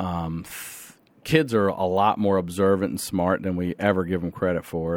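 This man speaks at a moderate pace in an unremarkable speaking voice, his pitch fairly low, on a very clean recording with a silent background. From Carroll County, Maryland, US. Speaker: comedian and podcaster. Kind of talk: casual interview chat.

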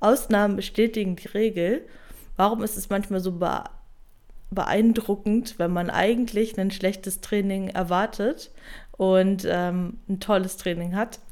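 A woman at a medium pitch and a fairly slow pace, with long, frequent pauses. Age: 20s. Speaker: online fitness and mindset coach. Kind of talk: solo podcast monologue. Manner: energetic, motivational.

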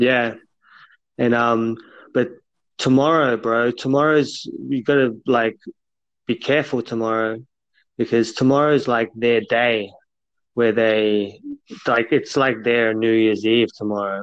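Pausing long and often, a man speaks at a fairly slow pace with a medium pitch and fairly even intonation. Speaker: podcast co-host. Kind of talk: casual chat. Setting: phone call.

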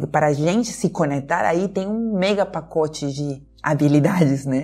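With a Peruvian accent, a woman talks at a fairly slow pace in a fairly low pitch, her tone dark and mellow and her pitch variation ordinary. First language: Spanish (speaking Portuguese). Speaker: dialogue facilitator, emotional intelligence specialist. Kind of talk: podcast conversation.

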